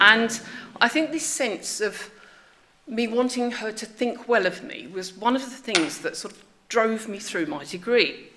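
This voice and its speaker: A woman speaks at a fairly slow pace in a fairly high pitch. Her loudness swings widely over noticeable background noise. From England, Enfield (north London). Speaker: former student. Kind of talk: memorial speech. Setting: memorial event at a college with audience. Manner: hesitant, with many fillers.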